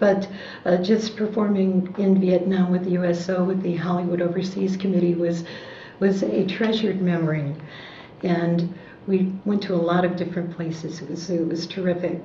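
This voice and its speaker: A woman's fairly low voice in an American accent, monotone and flat at a moderate pace, with noticeable background noise and audible room echo. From US Midwest, Chicago. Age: 60s. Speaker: war veteran, entertainer. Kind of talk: oral history interview.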